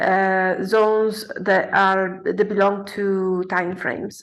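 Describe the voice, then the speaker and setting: A woman with a non-native accent and medium pitch at a very slow pace, amid audible room echo. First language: not English. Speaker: forex trader. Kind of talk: tutorial. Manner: halting, many fillers.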